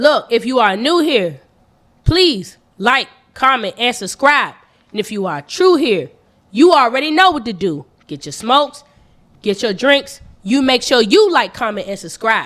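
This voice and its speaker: A woman talks at a fairly slow pace in a high, animated voice whose pitch swings very widely. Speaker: podcast co-host. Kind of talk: casual chat.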